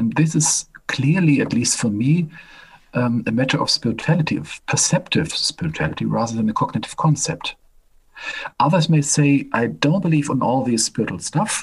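Using vocal fry, a man talks at a moderate pace in a fairly high pitch. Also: ordinary pitch variation. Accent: German. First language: German. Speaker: professor and medical doctor. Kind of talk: interview.

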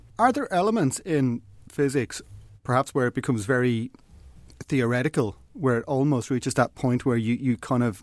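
This man talks fairly quickly in an Irish accent. His pitch varies in an ordinary way. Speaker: podcast host. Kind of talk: casual chat.

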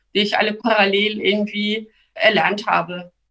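A woman speaks at a moderate pace in a bright, sharp tone, her intonation flat and monotone. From born in Turkey, grew up in Lower Saxony, Germany. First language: Turkish and Kurdish (speaking German). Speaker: member of parliament. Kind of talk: interview. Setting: video call. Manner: hesitant with fillers.

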